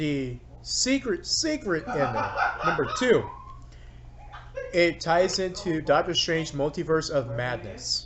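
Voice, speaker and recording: A man at a very slow pace, with long, frequent pauses over noticeable background noise. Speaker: movie and anime YouTuber. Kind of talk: casual video commentary. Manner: animated.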